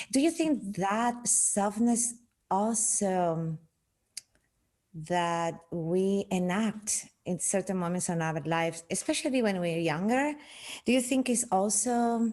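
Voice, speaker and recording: At a very slow pace, a woman speaks with a medium pitch and lively intonation. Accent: Spanish. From Spain. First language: Spanish. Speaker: podcast host. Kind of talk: interview conversation. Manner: halting.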